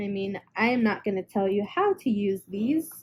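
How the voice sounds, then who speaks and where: A somewhat breathy woman's voice of medium pitch, dark and mellow in tone, at a fairly slow pace. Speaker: resin artist and small craft seller. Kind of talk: casual craft video reveal. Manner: hesitant, many fillers.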